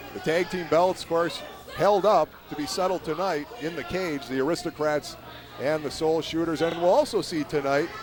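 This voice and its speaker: The speech comes at a moderate pace with fairly even intonation over noticeable background noise. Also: man, high pitch for a man. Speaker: wrestling commentator. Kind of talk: live sports commentary. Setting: live event venue.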